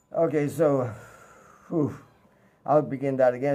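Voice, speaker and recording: The speaker is a man. His tone is dark and mellow. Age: 70s. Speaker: religious teacher. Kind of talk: religious talk. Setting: home during power outage. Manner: halting.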